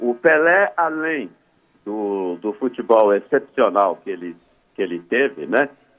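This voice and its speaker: Over music in the background, the speaker moves at a fairly slow pace with very wide pitch swings. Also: man, medium pitch for a man. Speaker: sports broadcaster. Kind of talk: radio interview answer.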